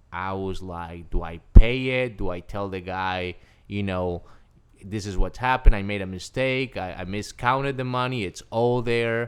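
Speaking at a moderate pace with a Spanish accent, a man uses a fairly low pitch with ordinary variation and big swings in loudness, on a very clean recording with a silent background. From Colombia (Cali). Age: 30s. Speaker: life coach. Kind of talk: casual interview.

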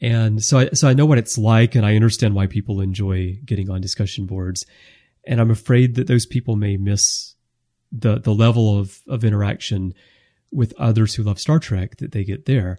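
In an American accent, the voice sounds dark, mellow and somewhat breathy, with ordinary pitch variation, a dry, close sound with no echo and a quiet background. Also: man, fairly low pitch for a man, moderate pace. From United States. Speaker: podcast host. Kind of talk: casual chat.

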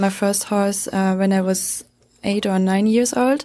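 Speaking with a German accent, a woman holds a medium pitch and moderate pace. Her intonation is fairly even, and the background is quiet. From Germany. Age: 20s. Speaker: horse training student. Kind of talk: casual interview. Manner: halting.

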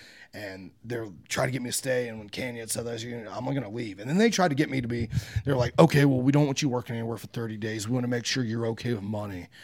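This man speaks very fast, with big swings in loudness and ordinary pitch variation. Noticeable background noise runs underneath. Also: medium pitch for a man. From US Midwest, Logan County, Ohio. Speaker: pro wrestler. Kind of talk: interview. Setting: in person at wrestling tapings.

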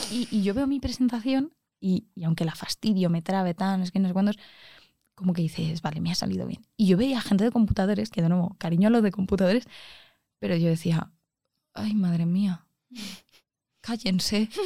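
Somewhat breathy and dark, mellow in tone, a woman talks at a fairly quick pace with ordinary pitch variation, broken by long, frequent pauses. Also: medium pitch for a woman. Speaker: engineering student. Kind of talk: casual chat.

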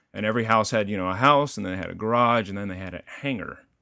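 In a very clean recording with a silent background, a man with a slight Texan accent speaks at a fairly low pitch with a bright, sharp tone and ordinary pitch variation. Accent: slight Texan drawl. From Texas, Denton (north of Dallas), rural. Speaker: cartoonist and author. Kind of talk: casual interview chat.

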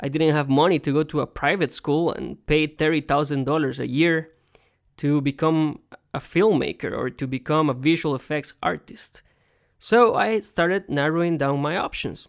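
A strong Costa Rican accent comes through on a very clean recording with a silent background. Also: moderate pace. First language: Spanish. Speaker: podcast host. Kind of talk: solo talk on career advice. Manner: conversational, with fillers.

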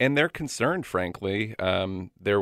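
The delivery is fairly slow. It is an ordinary speaking voice. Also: man. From Florida. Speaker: audiologist. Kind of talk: radio interview. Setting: studio.

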